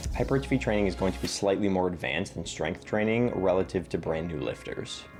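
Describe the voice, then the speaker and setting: With music in the background, a man's very deep, low voice carries lively intonation. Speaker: fitness content creator. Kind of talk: educational fitness explainer.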